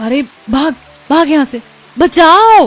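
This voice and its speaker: A put-on character voice rises high with lively intonation. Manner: screaming in fright.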